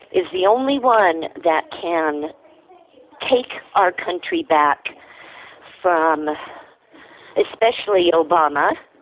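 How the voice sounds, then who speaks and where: A woman at a very slow pace, with long, frequent pauses, ordinary pitch variation and noticeable background noise. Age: 60s. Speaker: caller. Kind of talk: call-in opinion. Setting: phone call.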